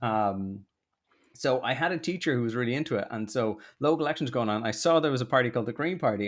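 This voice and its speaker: With a South Dublin accent, a man talks at a fairly quick pace in a medium pitch with lively intonation, on a very clean recording with a silent background. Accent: posh South Dublin Irish, easy to understand. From Ireland, South Dublin (Rathmines). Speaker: political content creator. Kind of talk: podcast interview. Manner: lots of fillers.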